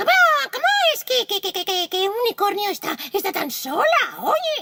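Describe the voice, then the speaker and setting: Squeaky and extremely high-pitched, a put-on character voice proceeds at a moderate pace. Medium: read story. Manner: stuttering, halting.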